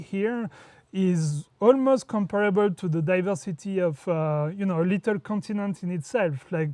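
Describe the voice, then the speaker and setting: Against a quiet background, a man with a French accent talks at a moderate pace in a high pitch, his tone dark and mellow, with ordinary pitch variation. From France. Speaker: entrepreneur and traveler. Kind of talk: interview. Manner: hesitant, many fillers.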